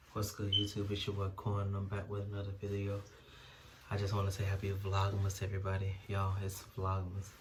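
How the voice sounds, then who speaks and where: Amid noticeable background noise and audible room echo, a man speaks in a flat monotone at a fairly low pitch. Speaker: YouTuber. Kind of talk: casual vlog review. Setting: at home.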